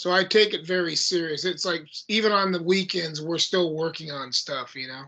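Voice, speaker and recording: A man's voice, high-pitched with a bright, sharp tone, moves at a moderate pace with ordinary pitch variation and big swings in loudness. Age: 60s. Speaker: heavy metal band vocalist. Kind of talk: casual interview. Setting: video call.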